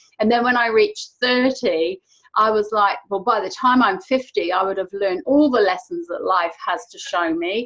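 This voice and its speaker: Lively in intonation, a woman with an English accent speaks at a fairly high pitch and a moderate pace. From England. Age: 50s. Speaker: online show host. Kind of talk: interview chat.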